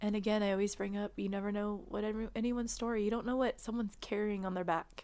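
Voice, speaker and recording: A woman rattles off her words at a very fast pace with hardly any pauses, her medium-pitched voice monotone and flat. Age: 40s. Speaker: guest sharing weight loss surgery story. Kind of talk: casual interview.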